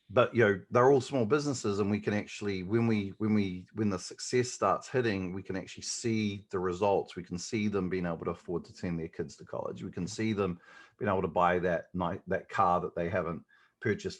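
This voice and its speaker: Against a quiet background, a man with a New Zealand accent talks at a fairly quick pace in a fairly low pitch, with ordinary pitch variation and big swings in loudness. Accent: New Zealand, noticeable. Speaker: digital marketing agency owner. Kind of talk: podcast interview. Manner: hesitant, many fillers.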